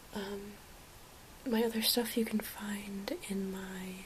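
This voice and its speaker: The voice belongs to a woman. She whispers with noticeable background noise behind her. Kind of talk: ASMR haul. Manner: whispered; soft-spoken.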